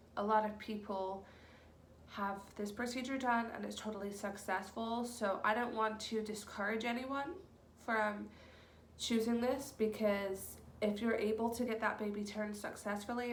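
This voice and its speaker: Amid noticeable background noise and audible room echo, a woman speaks at a moderate pace with monotone, flat intonation. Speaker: vlogger. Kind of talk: casual vlog monologue. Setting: at home, in the nursery. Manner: hesitant, many ums.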